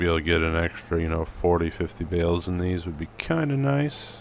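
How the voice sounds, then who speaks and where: A man with a very deep, low voice talks fairly quickly, barely pausing, with ordinary pitch variation. Noticeable background noise runs underneath. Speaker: farming sim gameplay youtuber. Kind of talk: casual gameplay commentary.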